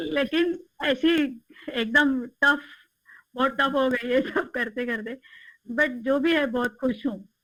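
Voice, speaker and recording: The voice has a bright, sharp tone, a Marathi accent, and ordinary pitch variation. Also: woman, high pitch for a woman. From Maharashtra, India. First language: Marathi (speaking Hindi). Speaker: interview guest. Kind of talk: interview.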